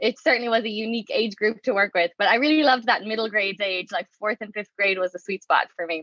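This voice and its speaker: A woman's very fast delivery with hardly any pauses and ordinary pitch variation. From Ireland, Waterford (southeast). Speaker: education researcher, professor. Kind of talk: interview. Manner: conversational with fillers.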